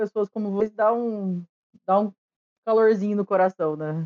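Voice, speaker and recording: The woman's voice has a dark, mellow tone. Her sound comes across dry and close, without any echo. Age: 30s. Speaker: podcast host. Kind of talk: casual chat. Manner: loud, excitable.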